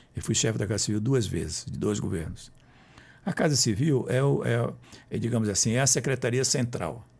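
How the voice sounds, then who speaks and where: A man's medium-pitched voice with vocal fry, lively intonation and a moderate pace, on a very clean recording with a silent background. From Brazil, Roraima (Boa Vista). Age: 70s. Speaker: author and former politician. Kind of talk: interview.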